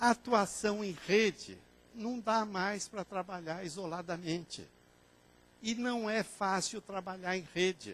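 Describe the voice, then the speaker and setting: Speaking at a very slow pace, a man uses a high pitch and fairly even intonation. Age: 60s. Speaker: librarian and information science lecturer. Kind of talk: conference lecture.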